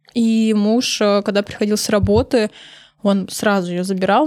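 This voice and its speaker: An unremarkable speaking voice, a woman's, medium in pitch, at a moderate pace with fairly even intonation. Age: 30s. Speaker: makeup artist and beauty blogger. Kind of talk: casual interview chat.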